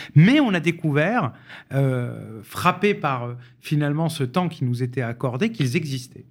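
Lively in intonation and fairly high in pitch, a man talks in an unremarkable speaking voice. The recording is very clean, its background silent. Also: fairly slow pace. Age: 40s. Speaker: housing policy expert. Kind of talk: radio panel discussion.

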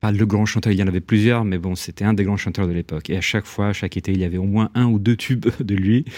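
Speaking at a very fast pace with hardly any pauses, a man with an Italian accent has a fairly low pitch, a dark, mellow tone, and fairly even intonation, in a very clean recording with a silent background. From Italy, Rome. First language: Italian (speaking French). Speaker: writer. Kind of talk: interview. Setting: radio studio. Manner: halting, many repetitions.

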